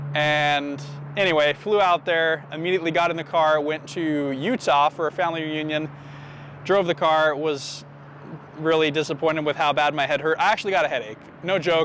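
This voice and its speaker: Over noticeable background noise, a man speaks at a fairly quick pace. His voice is fairly high, with fairly even intonation. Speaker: car YouTuber. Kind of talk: casual vlog talk. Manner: casual, self-correcting.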